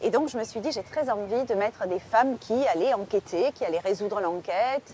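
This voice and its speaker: This woman has a southern French accent and a dark, mellow tone. She speaks at a moderate pace, fairly high in pitch, with ordinary pitch variation. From southern France, Marseille. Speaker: crime novelist. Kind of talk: interview. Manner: hesitant, many fillers.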